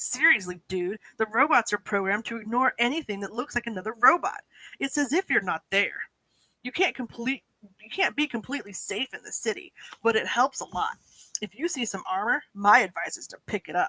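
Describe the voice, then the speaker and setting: A woman does a put-on character voice at a fairly quick pace and fairly high pitch. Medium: read story. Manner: casual slangy dude talk.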